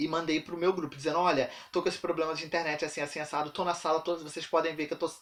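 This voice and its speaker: A man speaks in a high pitch. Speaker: university student and teacher. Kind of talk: casual vlog. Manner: fast.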